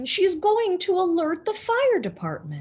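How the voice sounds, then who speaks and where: In a put-on character voice, a woman speaks at a moderate pace with an extremely high pitch. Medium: read story. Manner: blustery, self-assured.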